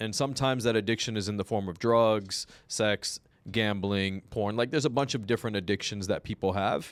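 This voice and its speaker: A man speaks at a fairly quick pace in a fairly low pitch, his intonation fairly even. The recording is very clean with a silent background, and the sound is dry and close with no echo. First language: not Spanish; speaks imperfect Spanish. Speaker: podcast host. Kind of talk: casual interview.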